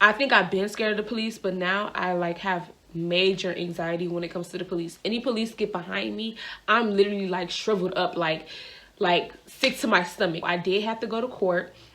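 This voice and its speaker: Bright and sharp in tone, a woman's medium-pitched voice moves at a fairly quick pace with fairly even intonation. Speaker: vlogger. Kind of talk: storytelling vlog. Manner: fast; casual, conversational with fillers.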